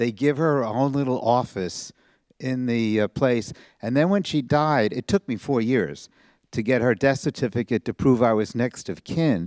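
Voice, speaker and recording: A man with a New York accent at a moderate pace and medium pitch, ordinary pitch variation, a dry, close sound with no echo, and a very clean recording with a silent background. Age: 70s. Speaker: audience member. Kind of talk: audience question at book talk.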